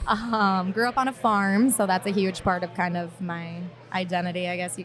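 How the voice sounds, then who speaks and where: A woman with an Upper Midwest accent, medium pitch, and fairly even intonation. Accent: Upper Midwest American. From Minnesota. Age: 20s. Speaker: marketing professional on a dating podcast. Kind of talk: casual chat. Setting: stage with audience. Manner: hesitant, many fillers.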